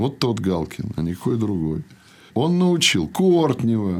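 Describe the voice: A theatrical tone with big pitch swings. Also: man, fairly low pitch for a man, fairly slow pace.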